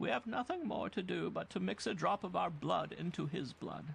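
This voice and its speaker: A man puts on a high-pitched character voice, with clear background noise behind him. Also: moderate pace. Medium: read story. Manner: slow, solemn, otherworldly.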